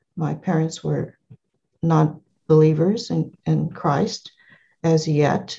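A woman with an American accent talks at a very slow pace, leaving long, frequent pauses. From California. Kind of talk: interview.

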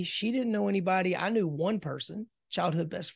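Against a quiet background, a man with an American accent speaks in a high pitch. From US South, South Carolina. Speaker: business coach and entrepreneur. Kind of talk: interview conversation.

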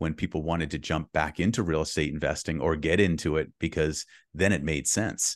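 Recorded with a dry, close sound with no echo and a quiet background, a man speaks at a fairly quick pace with a very deep, low pitch. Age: 50s. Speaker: real estate investor and coach. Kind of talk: casual interview chat.

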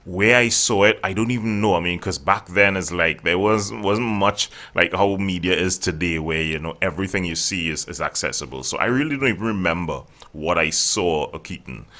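Delivered in a Trinidadian accent at a fairly quick pace, the voice has a bright, sharp tone on a very clean recording with a silent background. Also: man, very deep, low pitch for a man, ordinary pitch variation. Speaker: voice coach and voiceover artist. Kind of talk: casual interview chat.

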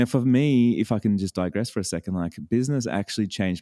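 A man with an Australian accent speaks in a dark, mellow tone with ordinary pitch variation, recorded very cleanly against a silent background with a dry, close sound with no echo. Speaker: business coach. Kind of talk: casual interview chat. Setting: studio, early morning.

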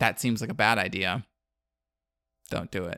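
Recorded dry and close with no echo, a man talks at a medium pitch in a bright, sharp tone with lively intonation. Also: very clean recording, silent background. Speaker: podcast co-host. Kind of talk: casual chat. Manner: fast talker.

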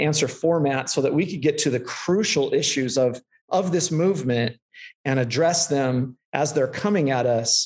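Here is a man with an ordinary speaking voice and an American accent. His pitch is fairly high with ordinary variation, and his pace is fairly slow. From Central California. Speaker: pastor. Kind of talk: casual interview.

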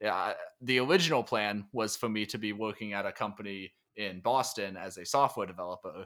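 Ordinary pitch variation marks an unremarkable speaking voice that moves along at a fairly quick pace. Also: man, fairly low pitch for a man. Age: 20s. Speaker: tech writer and author. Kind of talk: interview. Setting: remote call.

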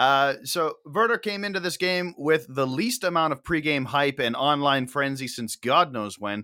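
A man speaks at a moderate pace with hardly any pauses, his fairly high voice bright and sharp in tone and his intonation lively, on a very clean recording with a silent background. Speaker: podcast host. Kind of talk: casual chat, post-match discussion.

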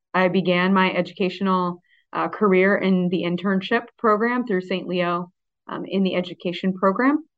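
A woman with an American accent speaks at a moderate pace. Her pitch is medium and her intonation fairly even. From Florida, Pasco County. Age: 30s. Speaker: assistant principal. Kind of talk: interview. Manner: hesitant with many fillers.

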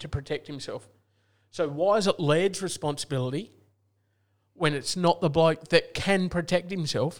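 With an Australian accent, a man talks in a high pitch and fairly even intonation, recorded very cleanly over a silent background. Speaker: football podcast co-host. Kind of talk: casual banter about AFL.

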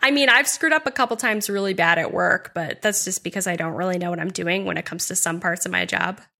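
In an American accent, a woman talks very fast with hardly any pauses, her medium-pitched voice bright and sharp with vocal fry. Her intonation is lively. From US New England (New Hampshire). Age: 30s. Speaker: podcast co-host and housing advocate. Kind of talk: interview. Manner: animated.

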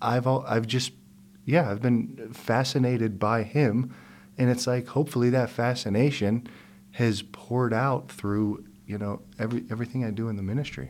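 At a moderate pace, a man with a medium-pitched voice speaks with fairly even intonation and an unremarkable speaking voice. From US, Pittsburgh. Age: 40s. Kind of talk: interview conversation. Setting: studio.

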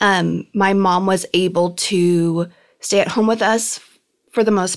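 A woman's medium-pitched voice carries fairly even intonation. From Southern California (Norwalk). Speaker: lifestyle content creator. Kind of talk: interview.

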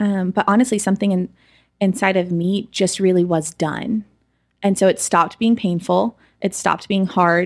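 At a moderate pace, a woman with an American accent and a normal speaking voice talks at a medium pitch with fairly even intonation and very even loudness, in a very clean recording with a silent background. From Oklahoma, US. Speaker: church creative director. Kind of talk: testimony. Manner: casual, frequent fillers.

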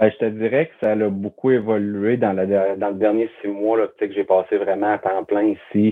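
A man speaks at a moderate pace with hardly any pauses. His fairly low voice stays monotone and flat. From Quebec, Charlevoix (Baie-Saint-Paul). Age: 30s. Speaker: campground manager. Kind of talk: interview conversation.

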